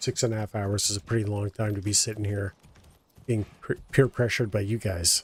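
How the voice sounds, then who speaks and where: In a somewhat breathy voice with monotone, flat intonation, the speaker goes at a moderate pace, recorded very cleanly with a silent background and a dry, close sound without echo. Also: man. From Canada. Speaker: game streamer. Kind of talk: live gameplay commentary. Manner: slurred, casual.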